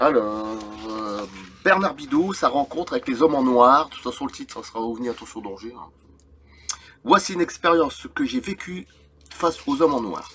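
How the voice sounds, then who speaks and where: A man speaks at a fairly high pitch and a moderate pace. His pitch swings very widely, and his loudness rises and falls a lot. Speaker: YouTuber reading UFO accounts. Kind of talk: reading aloud with comments; casual chat. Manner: halting.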